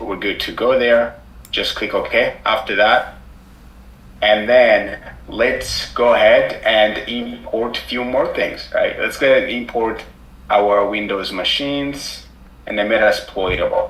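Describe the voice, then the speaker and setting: There is noticeable background noise and audible room echo as a man speaks at a fairly slow pace. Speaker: cybersecurity instructor. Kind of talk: live tutorial. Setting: live online class with screen sharing.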